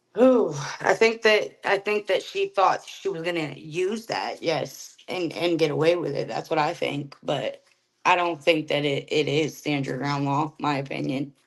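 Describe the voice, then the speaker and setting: A woman with an unremarkable speaking voice, fairly low in pitch, with lively intonation at a fairly slow pace. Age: 30s. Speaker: neighbor of the victim. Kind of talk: interview.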